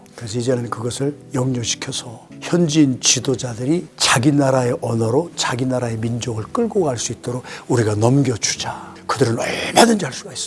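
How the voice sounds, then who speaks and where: A man's medium-pitched voice at a moderate pace with lively intonation, music playing in the background. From South Korea, South Chungcheong. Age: 70s. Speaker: retired pastor and missionary. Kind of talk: interview.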